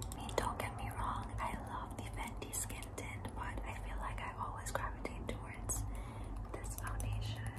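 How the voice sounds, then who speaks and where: Over noticeable background noise, a woman with a very deep, low pitch speaks at a moderate pace in a monotone, flat intonation. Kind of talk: ASMR makeup bag show-and-tell to camera. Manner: whispered, soft, close to the microphone.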